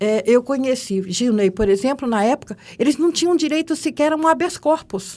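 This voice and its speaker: Fairly slow speech from a woman, with very wide swings in pitch. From Brazil, Minas Gerais (Juiz de Fora). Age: 70s. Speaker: judge. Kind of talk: interview.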